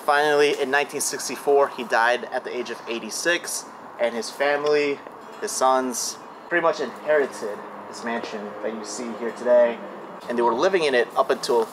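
A man talks at a moderate pace with ordinary pitch variation, and noticeable background noise is present. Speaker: urban explorer host. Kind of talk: casual vlog chat. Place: garden.

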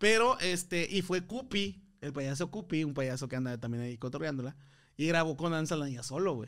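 The tone is animated, with lively intonation. The pace is moderate against a quiet background. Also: man, fairly high pitch for a man. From Monterrey, northern Mexico; Mexico. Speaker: comedian. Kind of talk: casual chat. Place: studio. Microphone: studio mic.

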